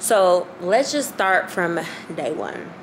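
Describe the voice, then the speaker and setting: Noticeable background noise accompanies a woman. She speaks at a very slow pace. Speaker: vlogger. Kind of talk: casual vlog chat. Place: home room. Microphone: phone near.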